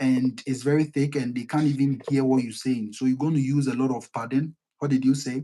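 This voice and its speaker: This man's voice has a dark, mellow tone at a fairly high pitch. He keeps a moderate pace with fairly even intonation. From Ghana. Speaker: online talk show host. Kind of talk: live stream discussion. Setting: live stream.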